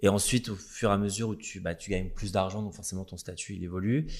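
A man talks in an ordinary speaking voice, fairly low in pitch and at a fairly quick pace. The recording is very clean, with a silent background. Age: 30s. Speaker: hairdresser and influencer. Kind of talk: casual interview.

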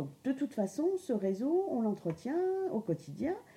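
Her voice dark, mellow and somewhat breathy, a woman speaks at a fairly slow pace with very wide pitch swings. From Lorraine, France. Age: 50s. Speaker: adult education trainer. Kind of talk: interview. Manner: hesitant, many fillers.

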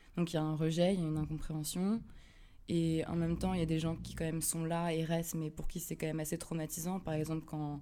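Very deep and low in pitch, a woman's voice has a dark, mellow tone and races along at a very fast pace. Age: 20s. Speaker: theology student sharing mental health experience. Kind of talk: personal testimony. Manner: halting, with frequent hesitations.

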